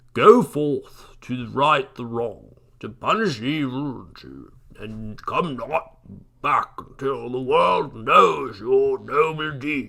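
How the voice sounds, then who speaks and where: A put-on character voice at a very slow pace, with big swings in loudness. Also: man, fairly high pitch for a man. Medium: read story. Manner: grave, advising.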